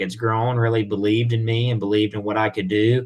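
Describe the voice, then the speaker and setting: A man with a Southern US accent, medium in pitch, at a moderate pace. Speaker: whiskey brand representative. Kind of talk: casual interview.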